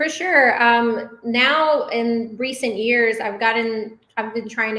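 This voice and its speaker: A woman with a Spanish accent, fairly high in pitch, at a very slow pace. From Dallas, Texas. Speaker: business owner. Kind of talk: interview.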